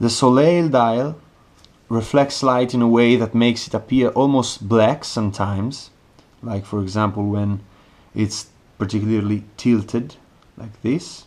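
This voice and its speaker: A man speaks with an Italian accent and ordinary pitch variation. His speech has long, frequent pauses. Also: medium pitch for a man, fairly slow pace. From Italy. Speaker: watch reviewer. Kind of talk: product review.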